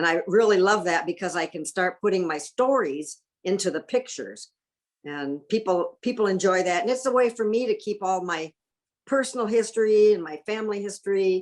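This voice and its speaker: Here is a woman with a plain, everyday voice and an American accent. Her intonation is lively, her pace moderate, and the background quiet. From US Midwest, Michigan and northern Indiana. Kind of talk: interview.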